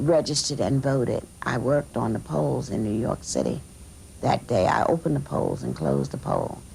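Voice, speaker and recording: Noticeable background noise is present. The speaker keeps a moderate pace. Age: 60s. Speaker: convention delegate, voter. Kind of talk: interview testimony. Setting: political convention.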